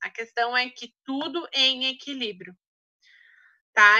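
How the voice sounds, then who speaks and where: The woman's tone is bright and sharp, with ordinary pitch variation. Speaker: essential oils trainer. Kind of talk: online training talk.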